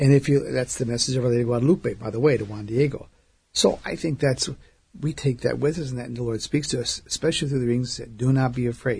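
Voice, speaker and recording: Somewhat breathy, a man talks at a very fast pace with fairly even intonation. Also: medium pitch for a man. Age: 60s. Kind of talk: radio interview.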